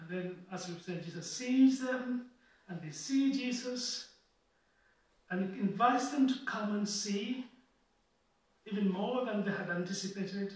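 Against audible room echo, a man with a high pitch speaks at a fairly slow pace with ordinary pitch variation, big swings in loudness and long, frequent pauses. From Kenya. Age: 40s. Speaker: preacher. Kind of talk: sermon.

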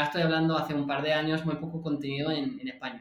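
A high-pitched man with an American accent, in audible room echo. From California, US. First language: English (speaking Spanish). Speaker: UX designer. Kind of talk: casual interview.

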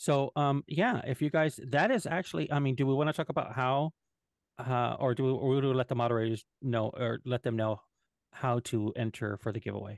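A man with a Spanish accent at a medium pitch, fairly quick pace, ordinary pitch variation and very even loudness, over a quiet background. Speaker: podcast co-host. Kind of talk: casual chat. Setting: livestream.

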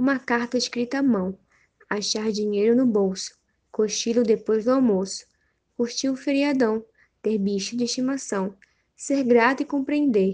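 A woman with a fairly high pitch and a dark, mellow tone speaks at a fairly slow pace with ordinary pitch variation against a quiet background. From Brazil, Manaus (Amazonas). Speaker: podcast host. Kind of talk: casual chat; poetry reading aloud. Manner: warm.

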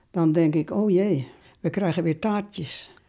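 A woman with a dark, mellow tone speaks at a fairly low pitch and fairly slow pace, on a very clean recording with a silent background. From Netherlands, Wervershoof (West Friesland). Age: 90s. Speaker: war eyewitness. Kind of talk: testimony. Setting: home visit.

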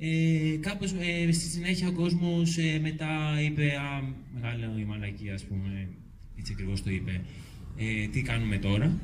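Against noticeable background noise and audible room echo, a man with a fairly high pitch speaks at a fairly slow pace with very wide pitch swings. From Euboea, Greece. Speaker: local resident activist. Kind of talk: public talk. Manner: halting.

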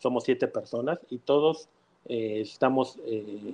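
A man at medium pitch uses ordinary pitch variation. His dark, mellow tone comes at a fairly slow pace. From Mexico City. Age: 30s. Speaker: mortgage executive. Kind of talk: interview.

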